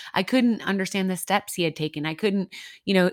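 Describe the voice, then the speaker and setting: In an unremarkable speaking voice, a woman with an American accent talks at a fairly low pitch with ordinary pitch variation, on a very clean recording with a silent background and a dry, close sound with no echo. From US Midwest. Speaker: ministry leader and podcaster sharing her story. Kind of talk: testimony in a casual interview.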